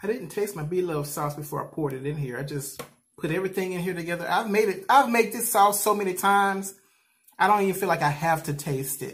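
Here a man talks at a very fast pace. His high pitch has ordinary variation. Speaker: food vlogger. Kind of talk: casual vlog chat. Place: home room. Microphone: phone near.

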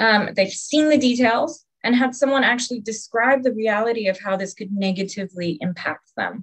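Against a quiet background, a woman with a fairly high pitch and a somewhat breathy voice talks at a moderate pace, with hardly any pauses and ordinary pitch variation. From Hawaii, USA. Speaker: PhD student and university lecturer; webinar speaker. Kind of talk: prepared talk. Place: home room. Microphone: webcam.

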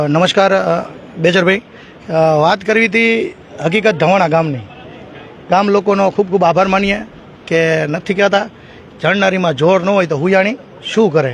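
A man's high voice with ordinary pitch variation and very even loudness, against noticeable background noise. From Gujarat, Morbi district. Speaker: press reporter and swimmer rescuer. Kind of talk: interview.

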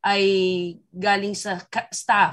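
A woman speaks against a quiet background. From Philippines. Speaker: film director. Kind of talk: press conference Q&A. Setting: video call. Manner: animated. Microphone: video call.

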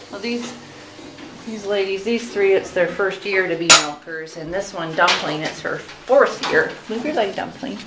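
Over loud background noise, a woman talks at a fairly slow pace with ordinary pitch variation. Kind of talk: interview answer. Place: farm machine. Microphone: phone near.

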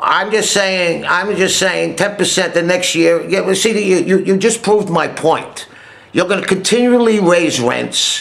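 A man's high-pitched voice with an American accent, fairly slow and very even in loudness, with fairly even intonation. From United States. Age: 70s. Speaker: Navy veteran. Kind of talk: phone argument. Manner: agitated, hesitant. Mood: frustrated, pleading. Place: home room. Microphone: webcam.

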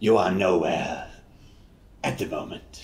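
A man performs a put-on character voice at a very deep, low pitch. He speaks at a fairly slow pace, with a slight echo. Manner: disembodied, eerie.

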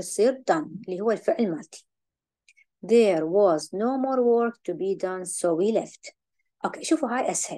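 Using lively intonation, a woman with an Iraqi accent speaks at a fairly quick pace in a dark, mellow tone. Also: medium pitch for a woman. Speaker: English teacher. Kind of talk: lecture.

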